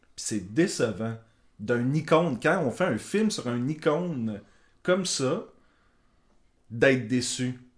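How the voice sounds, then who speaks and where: A very slow man's voice in a Quebec accent, medium in pitch, with lively intonation and long, frequent pauses. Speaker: podcast co-host. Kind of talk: casual chat.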